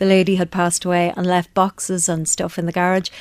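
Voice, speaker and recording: Heard in a dry, close sound with no echo, a woman talks at a fairly quick pace and medium pitch with monotone, flat intonation. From Northern Ireland, Belfast. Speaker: vintage shop owner. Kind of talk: radio interview. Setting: radio studio.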